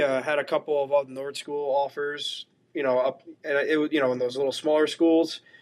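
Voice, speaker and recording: A man with a New Jersey accent, fairly high in pitch and fairly quick in pace. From northern New Jersey, Bergen County. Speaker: college hockey goalie. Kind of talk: podcast interview.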